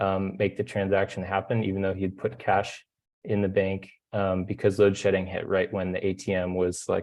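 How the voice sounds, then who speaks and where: Flat and monotone, a man with a Californian accent speaks at a fairly low pitch. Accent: American (Californian). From California, US. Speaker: solar energy engineer, webinar panelist. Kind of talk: webinar presentation. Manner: hesitant, many fillers.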